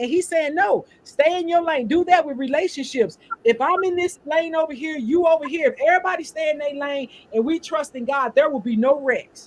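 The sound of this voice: The speaker has a St. Louis accent. The pace is fairly quick. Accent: country, St. Louis.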